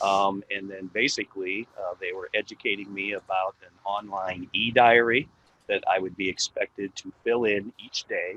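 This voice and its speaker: The pace here is moderate. The speaker is a man. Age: 60s. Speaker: healthcare worker, vaccine trial participant. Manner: halting, many fillers.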